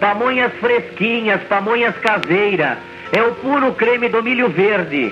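A man speaks at a high pitch with clear music in the background. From interior of São Paulo state, Brazil. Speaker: street food vendor. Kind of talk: street vendor loudspeaker announcement. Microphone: old recording.

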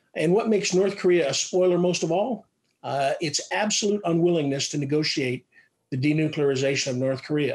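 A man with a high pitch, ordinary pitch variation and a fairly quick pace over a quiet background. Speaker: retired army officer and defense analyst; panelist. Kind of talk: panel presentation. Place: home room. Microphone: webcam.

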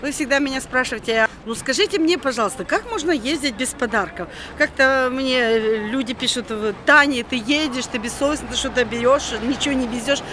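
A woman uses a raised, projected voice at a moderate pace with ordinary pitch variation, the sound dry with no echo but with noticeable background noise. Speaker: travel vlogger. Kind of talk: casual vlog chat. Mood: chatty, slightly indignant. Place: street. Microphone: phone near.

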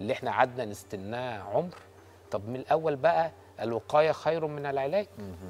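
A man speaks at a moderate pace with lively intonation. His loudness swings widely. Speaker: gynecologist; guest. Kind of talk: TV talk show interview. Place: studio. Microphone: lapel.

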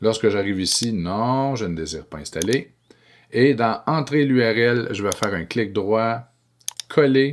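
The speech moves at a fairly slow pace with ordinary pitch variation. Light background noise is present. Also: man. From Quebec. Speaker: educational technology trainer for teachers. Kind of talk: screencast tutorial.

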